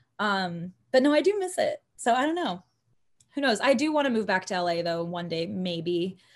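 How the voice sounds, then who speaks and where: A woman with a medium pitch talks at a moderate pace with very wide pitch swings. The background is quiet. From Texas, Houston area. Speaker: singer. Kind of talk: casual chat.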